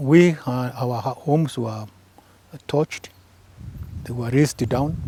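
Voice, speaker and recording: At a very slow pace, a man speaks with a medium pitch. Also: ordinary pitch variation. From Kenya, Embu. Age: 70s. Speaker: retired government press officer and author. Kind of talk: interview.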